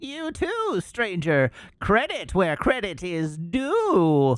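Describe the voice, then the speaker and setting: This put-on character voice has a theatrical tone and middle pitch. The delivery moves at a very slow pace. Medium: game stream. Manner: theatrical, overblown.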